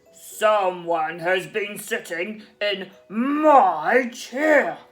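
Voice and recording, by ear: A put-on character voice at a very slow pace, over faint music in the background. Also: female-sounding voice, medium pitch for a woman.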